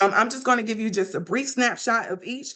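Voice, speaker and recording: A woman with a Mississippi accent talks at a moderate pace in a bright, sharp tone. Her pitch varies in an ordinary way, and the background is quiet. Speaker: class presenter on school finance. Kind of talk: academic presentation. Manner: occasional stumbles and self-corrections.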